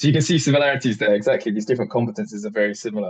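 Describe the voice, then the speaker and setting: A man with a southern British accent, against a quiet background. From England. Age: 20s. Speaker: French teacher and polyglot. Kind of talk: interview conversation.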